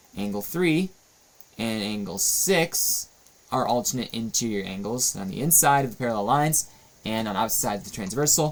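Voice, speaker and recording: A man with an ordinary speaking voice, medium pitch, lively intonation and moderate pace. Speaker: math teacher. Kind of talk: tutorial.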